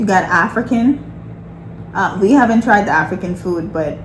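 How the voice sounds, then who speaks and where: A woman with a Bahamian accent at a fairly quick pace, ordinary pitch variation, audible room echo and noticeable background noise. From Bahamas. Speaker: nurse and lifestyle vlogger. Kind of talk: casual chat.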